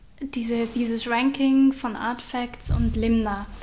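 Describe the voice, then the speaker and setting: A woman speaks in a high, flat monotone at a very slow pace. Noticeable background noise sits behind her. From Switzerland, Aargau. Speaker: podcast host. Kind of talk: interview.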